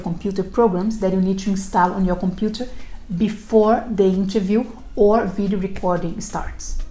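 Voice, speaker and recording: A woman with a non-native accent speaks at a fairly quick pace in a dark, mellow, somewhat breathy tone. Her intonation is fairly even, and there is audible room echo. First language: not English. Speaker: recruiter and career advice video host. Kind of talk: scripted tutorial. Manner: formal.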